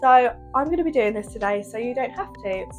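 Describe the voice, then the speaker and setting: Fairly quick speech from a woman, backed by music. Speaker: bridal hairstylist. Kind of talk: casual product review to camera.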